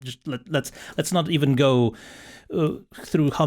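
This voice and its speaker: Speaking in a Slovenian accent, a man keeps a moderate pace and fairly even intonation. The recording is very clean, with a silent background. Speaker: podcast host. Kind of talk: casual chat.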